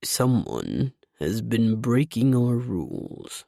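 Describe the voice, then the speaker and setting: In a very clean recording with a silent background, a man does a put-on character voice. His pitch is medium and his pace very slow. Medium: read story. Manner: slow, calm, ponderous.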